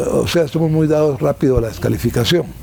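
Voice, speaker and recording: Noticeable background noise runs beneath the speech. A man talks with lively intonation at a fairly quick pace. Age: 70s. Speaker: former ambassador and political commentator. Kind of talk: interview. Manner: hesitant, frequent fillers and repetitions.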